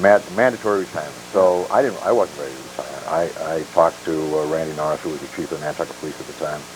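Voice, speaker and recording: A man speaks at a very fast pace with a very deep, low pitch and hardly any pauses. His loudness swings widely, the pitch varies in an ordinary way, and background noise is noticeable. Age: 60s. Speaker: retired police officer and sheriff candidate. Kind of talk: interview on local talk show. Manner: halting, with many fillers.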